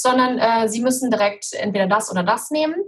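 Breathing audibly, a woman speaks very fast in a fairly high voice. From Cologne, western Germany. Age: 40s. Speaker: photographer with multiple sclerosis. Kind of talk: interview, personal testimony.

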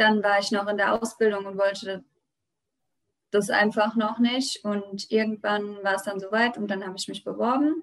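At a moderate pace, a woman speaks in a normal speaking voice at medium pitch. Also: fairly even intonation. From Germany, Rheinhessen. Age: 20s. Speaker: winemaker and regional wine queen. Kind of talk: interview.

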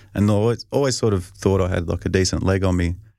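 A man with a strong Australian accent talks at a fairly quick pace, his very deep, low pitch carrying a dark, mellow tone on a very clean recording with a silent background. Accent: broad Australian. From Australia, rural north-east Victoria. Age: 30s. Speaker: professional football punter. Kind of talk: casual interview.

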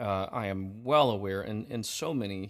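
The recording is very clean, with a silent background. A man speaks at a fairly slow pace in a plain, everyday voice with ordinary pitch variation. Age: 40s. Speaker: podcast host. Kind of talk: casual interview.

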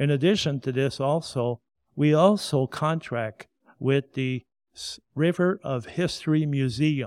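Male speech with a French Canadian accent, fairly high in pitch with ordinary pitch variation, dry and close with no echo on a very clean recording with a silent background. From Quebec. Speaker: museum curator and tour guide. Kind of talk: interview. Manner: formal.

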